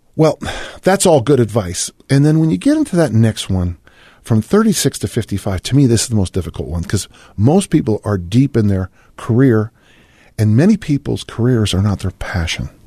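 Somewhat breathy and dark, mellow in tone, a man's medium-pitched voice moves at a moderate pace with lively intonation, in a dry, close sound with no echo. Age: 60s. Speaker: fitness coach and writer. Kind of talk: interview.

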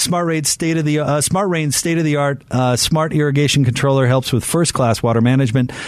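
In a normal speaking voice, a man talks at a fairly quick pace with very even loudness and ordinary pitch variation. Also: fairly high pitch for a man. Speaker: sports radio host. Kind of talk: casual chat. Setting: studio.

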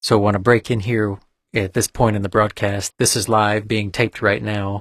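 In a dry, close sound with no echo, a man speaks fairly quickly in a fairly low, monotone, flat voice. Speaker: radio co-host and community member. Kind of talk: formal broadcast introduction and welcome. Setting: radio studio.

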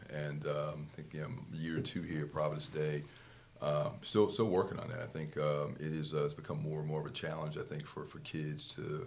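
The speech moves at a moderate pace with fairly even intonation. There is audible room echo. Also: man, very deep, low pitch for a man. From New Jersey. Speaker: boys basketball coach. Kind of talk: casual interview.

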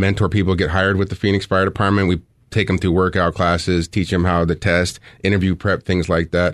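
Over a quiet background, a man with an American accent talks in a very deep, low pitch with monotone, flat intonation. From Arizona. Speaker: fire captain. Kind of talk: radio interview. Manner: halting, many fillers.

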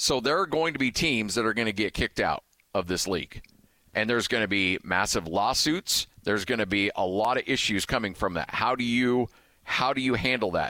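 Recorded very cleanly against a silent background, a man speaks at a moderate pace and medium pitch with a bright, sharp tone, very even loudness and a dry, close sound with no echo. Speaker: radio host. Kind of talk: casual sports talk radio. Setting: radio studio.

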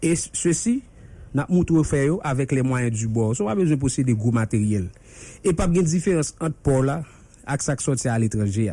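A man's somewhat breathy, medium-pitched voice, dark and mellow in tone, with lively intonation. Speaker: vocational trainer. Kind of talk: radio interview. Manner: fast.

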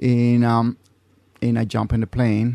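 A man with a Mexican accent talks at a medium pitch and a moderate pace. The sound is dry and close with no echo, over a quiet background. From Mexico. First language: Spanish. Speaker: navy reservist, intelligence specialist. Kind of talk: interview. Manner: halting.

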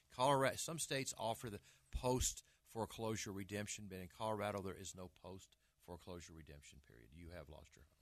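At a very fast pace, a man speaks with lively intonation, fairly low pitch and vocal fry. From Arkansas, US South. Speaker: real estate broker and agent trainer. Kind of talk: radio talk show interview. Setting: radio studio.

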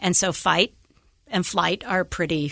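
Against a quiet background, a woman with an American accent speaks at a fairly slow pace with vocal fry. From Idaho (Idaho Falls). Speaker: social worker, nonprofit program officer. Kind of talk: interview conversation.

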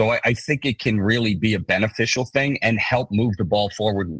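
A man with a normal speaking voice talks in a fairly low pitch at a moderate pace, with ordinary pitch variation. The sound is dry and close, with no echo. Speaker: TV writer and producer. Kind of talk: interview.

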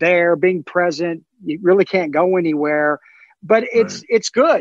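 A man with an American accent speaks at a fairly slow pace in a high pitch with lively intonation, the sound dry and close with no echo and a quiet background. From US South, South Carolina. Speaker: show host, stand-up comedian. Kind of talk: casual chat.

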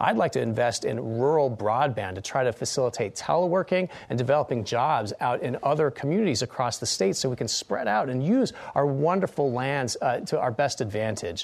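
Using a plain, everyday voice, a man speaks at a medium pitch with lively intonation and hardly any pauses. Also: fairly quick pace. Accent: American. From Utah. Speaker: political candidate, law professor. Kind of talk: political debate. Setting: studio.

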